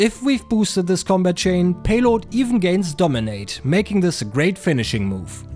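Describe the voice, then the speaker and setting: With music playing behind him, a man talks at a moderate pace in a high voice that makes very wide pitch swings. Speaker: card game content creator. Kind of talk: casual game deck tech narration.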